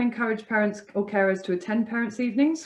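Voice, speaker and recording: A woman speaks with an English accent. Her pitch is fairly high. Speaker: charity worker training teachers. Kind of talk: webinar presentation. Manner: fast.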